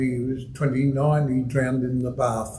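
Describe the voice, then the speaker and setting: In an Australian accent, a man with a medium pitch speaks at a fairly slow pace with flat, monotone intonation, with audible room echo and noticeable background noise. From Melbourne, Australia (Heidelberg area). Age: 70s. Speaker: retired footballer, guest speaker. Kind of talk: after-dinner style talk. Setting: club meeting room with audience.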